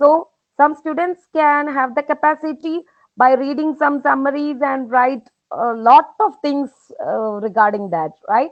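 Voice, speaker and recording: A woman's high voice in a Keralan accent, fairly slow, with ordinary pitch variation. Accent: Indian (Malayali) English. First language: Malayalam. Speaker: professor. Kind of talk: webinar Q&A. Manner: hesitant, many fillers.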